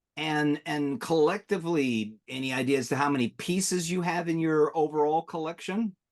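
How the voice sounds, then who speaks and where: A man with a normal speaking voice, pitched fairly high, talks at a moderate pace with hardly any pauses and ordinary pitch variation. The background is quiet. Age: 60s. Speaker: collector show co-host. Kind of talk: interview.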